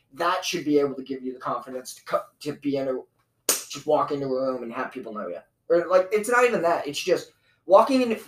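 Speaking at a fairly quick pace, a man with a fairly high pitch sounds animated, his intonation lively. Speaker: comedy podcast host. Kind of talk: casual chat. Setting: home studio. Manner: loud.

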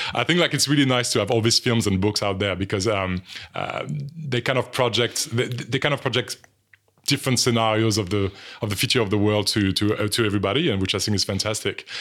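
Here a man with a French accent talks at a very fast pace in a fairly low voice. His loudness stays very even, and his pitch varies in an ordinary way. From France. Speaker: design lecturer. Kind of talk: interview. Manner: halting.

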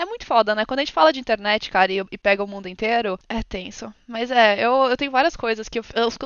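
A woman talks at a fairly quick pace with hardly any pauses, her pitch fairly high. It is an unremarkable speaking voice. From Brazil, São Paulo. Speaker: streamer and ASMR artist. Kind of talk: casual chat.

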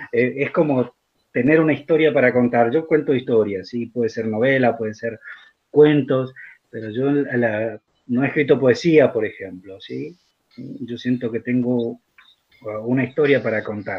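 A man talks at a fairly slow pace, medium in pitch. His is a normal speaking voice with ordinary pitch variation. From Argentina, central-north Formosa. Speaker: writer and teacher. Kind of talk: literary talk and reading aloud.

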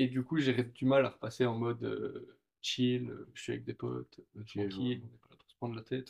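A man at a moderate pace with big swings in loudness. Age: 20s. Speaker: consultant. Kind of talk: casual chat.

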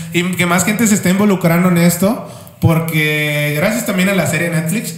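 A man with a Mexican accent talks at a high pitch and a fairly quick pace, with fairly even intonation. Noticeable background noise and audible room echo fill the recording. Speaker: motorsport podcast co-host. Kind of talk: casual chat.

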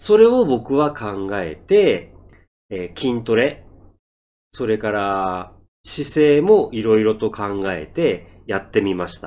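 At a very slow pace, a man speaks with a fairly low pitch and lively intonation. His loudness swings widely in a very clean recording with a silent background. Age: 50s. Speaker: Japanese-learning podcaster and driver. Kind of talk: monologue for Japanese learners. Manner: slow, deliberate speech.

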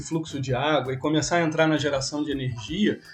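A man talks at a fairly quick pace in a fairly high pitch. He has an ordinary speaking voice. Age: 40. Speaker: podcast host. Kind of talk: casual interview.

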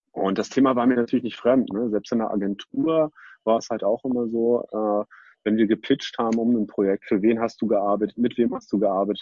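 A man talks fairly quickly in a normal speaking voice, his medium pitch showing ordinary pitch variation. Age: 40s. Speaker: company co-founder. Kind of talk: interview. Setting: online video recording.

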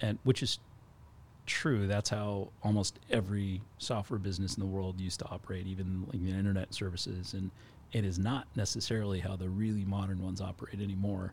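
A man's somewhat breathy, fairly low voice with monotone, flat intonation, in a very clean recording with a silent background. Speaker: cloud architect. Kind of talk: casual chat.

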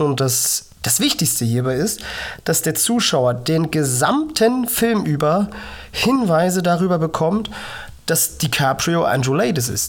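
A woman speaks very slowly in a very deep, low voice, somewhat breathy, with very wide pitch swings and very even loudness. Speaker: podcast host, cystic fibrosis patient. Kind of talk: motivational monologue.

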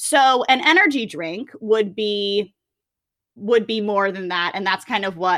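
On a very clean recording with a silent background, a woman in a normal speaking voice talks fairly slowly at a medium pitch with ordinary pitch variation. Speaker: podcast host. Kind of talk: casual chat.

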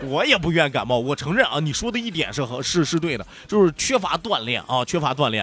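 Over noticeable background noise, a man talks at a fairly quick pace with hardly any pauses. His tone is animated, with very wide pitch swings. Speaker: radio host. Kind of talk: radio talk show, reading listener messages. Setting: radio studio. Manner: animated, joking.

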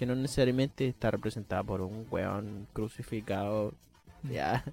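A man with a Chilean accent, at a moderate pace with ordinary pitch variation, music playing in the background. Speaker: psychology student. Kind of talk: casual chat.

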